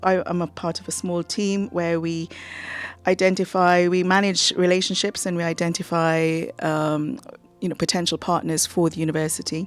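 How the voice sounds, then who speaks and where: Music in the background behind a woman's fairly low voice at a moderate pace. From Trinidad and Tobago. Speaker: university international partnerships officer. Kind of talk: radio interview.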